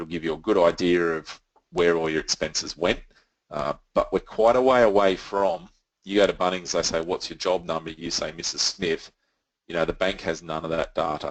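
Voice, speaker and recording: In an Australian accent, a man speaks with a very deep, low pitch and fairly even intonation. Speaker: software company representative. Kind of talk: webinar presentation. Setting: online webinar. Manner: fast.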